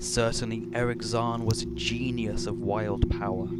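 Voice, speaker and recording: This man talks at a fairly slow pace. There is noticeable background noise. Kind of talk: dramatic reading of a horror story.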